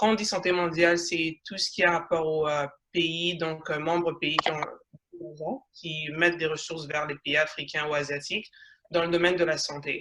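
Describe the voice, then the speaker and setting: In a flat, monotone delivery, a woman speaks at a fairly low pitch. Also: moderate pace. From Congo (Kinshasa), then Canada from age 8. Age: 20s. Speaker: social entrepreneur in health tech. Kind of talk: panel interview on video call. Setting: video call. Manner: halting.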